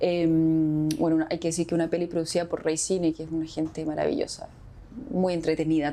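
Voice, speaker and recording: A woman at a very fast pace, her pitch fairly low. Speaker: actress. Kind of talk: interview.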